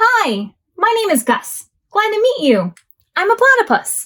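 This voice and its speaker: A woman puts on a squeaky character voice at an extremely high pitch with very wide pitch swings. She keeps a moderate pace. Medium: read story. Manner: gentle, downcast.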